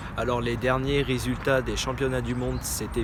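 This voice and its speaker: The man keeps a moderate pace amid noticeable background noise and audible room echo. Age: 20s. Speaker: adapted-sport cyclist. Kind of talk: interview testimony. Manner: hesitant, many fillers.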